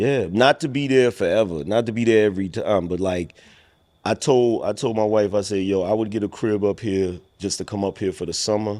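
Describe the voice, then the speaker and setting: A man speaks with a New York accent in a dark, mellow tone at a fairly low pitch. He moves at a fairly quick pace with ordinary pitch variation, in a very clean recording with a silent background. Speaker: internet personality. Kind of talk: casual chat.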